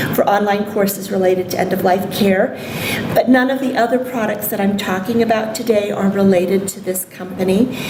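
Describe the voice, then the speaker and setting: In a room with audible echo and noticeable background noise, a woman talks at a medium pitch with fairly even intonation. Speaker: nursing professor and palliative care researcher. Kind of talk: conference lecture. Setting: symposium stage with audience. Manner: hesitant with many ums. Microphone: may be too far from microphone.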